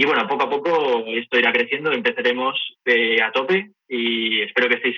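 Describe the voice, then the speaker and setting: With an unremarkable speaking voice, a man speaks at a moderate pace in a medium pitch with ordinary pitch variation. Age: 20s. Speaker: gym enthusiast and former tennis player. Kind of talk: interview.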